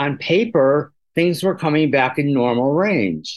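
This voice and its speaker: Lively intonation runs through a normal speaking voice. The pace is fairly slow. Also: man. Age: 60s. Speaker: patient living with HIV. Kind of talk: personal testimony.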